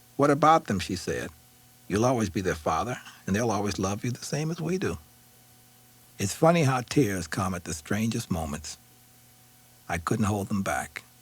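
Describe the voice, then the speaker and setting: A man with a fairly low voice talks at a moderate pace, his pitch swinging very widely, his tone somewhat breathy, with long, frequent pauses. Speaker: author reading own memoir. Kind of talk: audiobook memoir reading. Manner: emotionally expressive.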